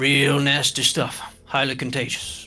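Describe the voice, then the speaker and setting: A man puts on a character voice, fairly high in pitch, monotone and flat in intonation at a fairly slow pace. Faint music plays in the background. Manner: gritty, warning.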